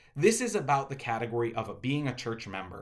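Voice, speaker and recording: With audible room echo, a man at a medium pitch talks at a fairly quick pace. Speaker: pastor. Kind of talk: video address to congregations. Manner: fast.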